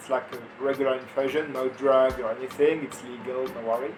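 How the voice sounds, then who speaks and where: Music plays in the background. A man with a French accent speaks at a fairly high pitch. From France. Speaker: farm volunteer. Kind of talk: interview. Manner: halting.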